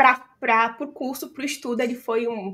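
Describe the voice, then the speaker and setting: A woman with an ordinary speaking voice talks at a fairly slow pace. Her pitch is fairly high. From Brazil. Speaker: accountant and business founder. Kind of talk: podcast interview. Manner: casual, many fillers.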